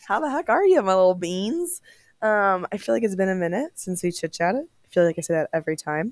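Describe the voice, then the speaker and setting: A woman's very fast speech at a medium pitch, with lively intonation. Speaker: podcast host. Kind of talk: casual chat. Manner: casual, many filler ums.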